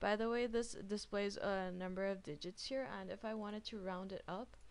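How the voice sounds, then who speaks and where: A woman speaks at a fairly slow pace. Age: 20s. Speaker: software trainer. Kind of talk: tutorial. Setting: webinar. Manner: halting.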